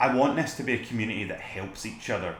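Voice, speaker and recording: A man with a Scottish accent speaks with lively intonation. Audible room echo and noticeable background noise surround the voice. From Scotland. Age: 20s. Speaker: photographer, video blogger. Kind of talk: casual vlog talk to camera. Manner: relaxed.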